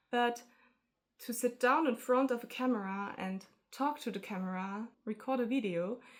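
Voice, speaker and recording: At a moderate pace, a high-pitched woman with a non-native accent talks with ordinary pitch variation. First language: not English. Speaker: artist vlogger. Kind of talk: casual vlog talk to camera. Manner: halting, hesitant.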